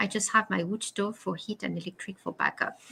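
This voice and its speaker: A woman speaks with a French accent at a moderate pace. Her pitch sits in the medium range. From France. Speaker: live stream host. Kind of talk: casual chat. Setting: live video stream.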